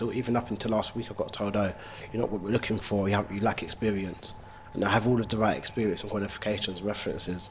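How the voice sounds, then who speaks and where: A man talks at a very fast pace with a fairly low pitch and monotone, flat intonation over noticeable background noise. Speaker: male nanny, childcare business owner. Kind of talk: interview answer.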